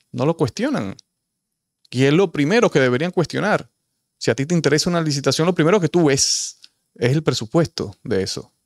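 A man with a Dominican accent and a fairly high pitch, fairly quick yet with long, frequent pauses, lively intonation and vocal fry, against a quiet background. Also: dry sound with no echo. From Dominican Republic. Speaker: political commentator. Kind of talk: opinion monologue. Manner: animated. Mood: indignant, critical. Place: studio. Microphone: studio mic.

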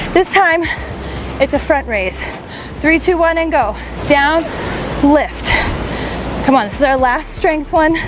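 A woman speaks at a high pitch and a fairly slow pace, with long, frequent pauses. The sound is dry with no echo, and background noise is noticeable. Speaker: fitness instructor. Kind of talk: workout coaching. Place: beach.

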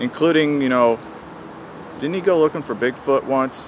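A man's voice with ordinary pitch variation comes through a dry sound with no echo and light background noise. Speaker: outdoor gear reviewer. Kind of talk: casual vlog chat. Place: forest.

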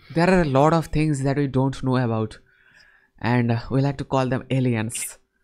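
A man with a Bengali accent at a moderate pace, fairly even intonation, long and frequent pauses, and a quiet background. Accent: Indian English, Bengali-accented. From India. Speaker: online chat host practicing English. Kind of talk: casual chat. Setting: video call. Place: home room. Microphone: studio mic.

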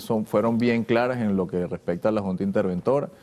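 Here a man speaks at a fairly quick pace with a fairly low pitch. His tone is dark and mellow, with ordinary pitch variation. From Venezuela, Valencia (Carabobo); Carabobo, Venezuela. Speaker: government official. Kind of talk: TV interview. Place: studio. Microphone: lapel.

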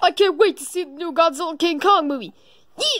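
In a cartoonish character voice, the speaker talks at an extremely high pitch and a fairly quick pace. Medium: puppet.

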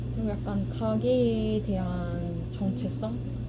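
Loud background noise fills the clip as a woman talks at a very slow pace. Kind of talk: casual vlog chat. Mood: reflective, slightly worried. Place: cafe. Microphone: camera far.

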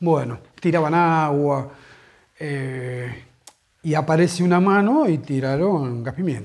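Against a quiet background, a man talks at a very slow pace. His pitch is fairly high, with ordinary variation. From Argentina, Buenos Aires. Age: 40s. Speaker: football fan. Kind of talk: interview testimony; interview answer. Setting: at home. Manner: halting. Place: home room.

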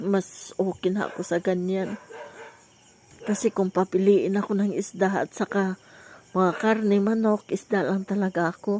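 The delivery is monotone with flat intonation, at a fairly slow pace. The sound is dry and close, with no echo. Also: woman, medium pitch for a woman. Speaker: vlogger. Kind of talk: casual vlog narration.

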